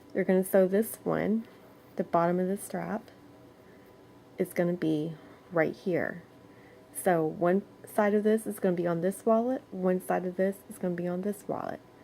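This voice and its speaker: A dark, mellow tone carries fairly even intonation at a moderate pace, broken by long, frequent pauses. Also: woman, medium pitch for a woman. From moved around as army child. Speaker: crochet tutorial creator. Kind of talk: tutorial. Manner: casual, chatty.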